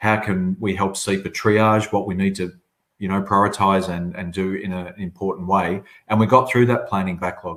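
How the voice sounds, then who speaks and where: A man speaks at a fairly quick pace with a fairly low pitch. His intonation stays monotone and flat. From southern Australia. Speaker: chief executive of a public agency. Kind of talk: webinar panel answer. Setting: online webinar.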